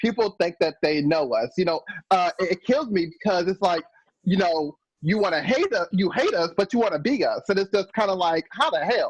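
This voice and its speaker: The recording has a dry, close sound with no echo and very even loudness. A man speaks at a moderate pace in a high pitch with lively intonation. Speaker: discussion participant. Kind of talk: group video call discussion. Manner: halting, many fillers and restarts.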